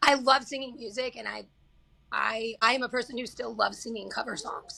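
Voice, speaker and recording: Speaking at a fairly quick pace with a slight Southern US accent, a woman uses an animated tone and big swings in loudness. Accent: slight Southern twang. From Kansas. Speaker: singer-songwriter. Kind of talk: casual interview chat.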